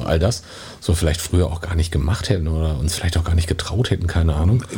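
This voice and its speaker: The speech comes very fast, with noticeable background noise behind it. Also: man. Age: 50s. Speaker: podcast host. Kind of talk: casual chat.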